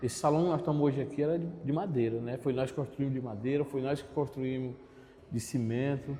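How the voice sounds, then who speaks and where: A man's fairly high-pitched voice with a dark, mellow tone, somewhat breathy, at a fairly quick pace. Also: fairly even intonation. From Piauí, northeastern Brazil. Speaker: community resident. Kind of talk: documentary interview.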